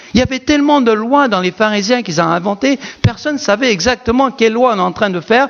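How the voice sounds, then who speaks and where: A man with a non-native accent speaks at an extremely high pitch and a fairly quick pace. His pitch varies in an ordinary way, with noticeable background noise behind him. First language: not French (speaking French). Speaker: pastor. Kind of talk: sermon. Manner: animated.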